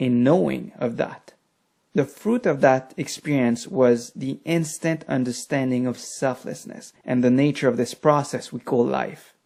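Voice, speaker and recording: The speaker has a French accent. The pace is fairly slow. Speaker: meditation teacher and author. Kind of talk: personal talk on meditation experience.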